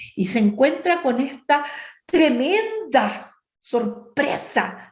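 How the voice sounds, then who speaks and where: With audible room echo, a woman speaks very slowly in a high voice with very wide pitch swings. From Chile, Temuco area. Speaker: women's ministry speaker. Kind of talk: bible study talk.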